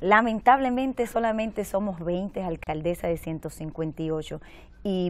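A woman speaks in an unremarkable speaking voice. Her pitch sits fairly low, with ordinary variation. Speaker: mayor. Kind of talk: TV interview.

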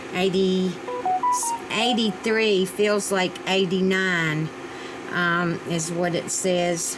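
With an American accent, a woman speaks very slowly, leaving long, frequent pauses against noticeable background noise. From Virginia. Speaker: home cooking vlogger. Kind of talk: cooking tutorial. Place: kitchen. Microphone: camera far.

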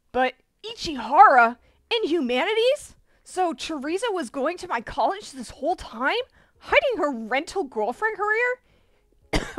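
A woman puts on a strained character voice at an extremely high pitch, swinging very widely up and down at a moderate pace.

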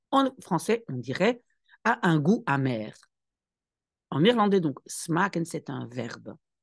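Her voice fairly low with vocal fry, a woman speaks at a very slow pace with very wide pitch swings and long, frequent pauses. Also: quiet background. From Belgium. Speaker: language teacher. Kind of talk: tutorial. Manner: didactic, explaining.

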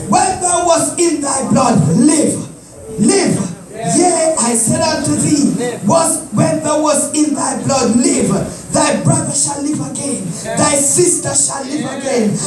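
A man speaks at a very slow pace. Music plays in the background, and the room echo is audible. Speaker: evangelist preacher. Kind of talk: sermon scripture reading. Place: church. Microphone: phone near.

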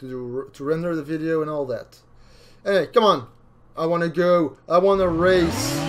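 A man's fairly high voice at a moderate pace, with ordinary pitch variation, big swings in loudness and music in the background. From Belgium. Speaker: gaming YouTuber playing a racing game. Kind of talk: casual gameplay commentary. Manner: excitable, reacts loudly to the race.

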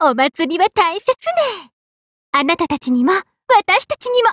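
A woman puts on a cartoonish character voice, extremely high-pitched and fairly bright, in a dry, close sound with no echo. She moves at a fairly slow pace in a sing-song way with big pitch swings.

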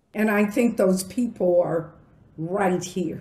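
A woman's voice carries audible room echo. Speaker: diversity council leader and event host; diversity council leader, event host. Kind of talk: formal welcome and moderation. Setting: video call. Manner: formal. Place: home room.

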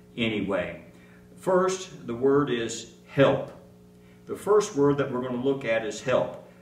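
Very slowly, a man speaks with very wide pitch swings, his voice carrying audible room echo. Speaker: pastor. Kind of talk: sermon. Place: church. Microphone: podium.

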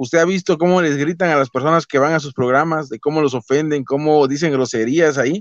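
A man's normal speaking voice, fairly high in pitch and fairly quick in pace, with fairly even intonation, a dry sound with no echo and a quiet background. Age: 30s. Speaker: YouTube channel host interviewer. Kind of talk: interview. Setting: online call. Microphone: video call.

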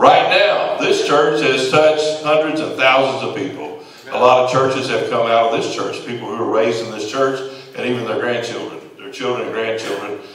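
A man talks at a moderate pace in a room with audible echo and light background noise. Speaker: preaching pastor. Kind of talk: sermon. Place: church.

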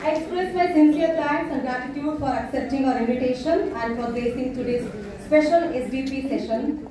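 Moderate-paced speech with a Kannada accent, strong room echo and light background noise. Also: woman. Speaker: professor and master of ceremonies. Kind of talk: formal event introduction. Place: hall.

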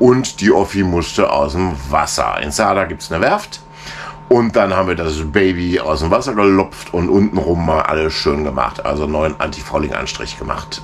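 A man speaks at a moderate pace in a very deep, low voice with ordinary pitch variation, music playing in the background. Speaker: sailing vlogger. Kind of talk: casual vlog chat. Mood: relaxed, cozy evening. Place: boat. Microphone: phone near.

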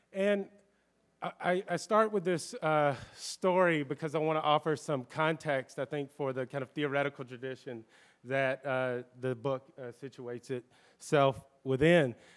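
A man speaks slowly, at a fairly slow pace, his pitch varying in an ordinary way against a quiet background. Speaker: academic panelist; panelist. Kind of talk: panel discussion. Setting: bookstore event with live audience. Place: shop. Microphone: podium.

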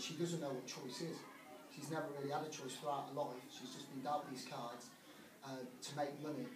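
A man with monotone, flat intonation at a fairly quick pace, over noticeable background noise. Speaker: debater in a role-play. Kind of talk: debate argument. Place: hall. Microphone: camera far.

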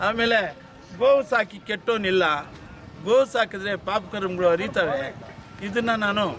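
With noticeable background noise behind him, a man's high voice shows ordinary pitch variation. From Chintamani taluk, Karnataka, India. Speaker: retired government employee and cattle breeder. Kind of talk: interview at a cattle fair.

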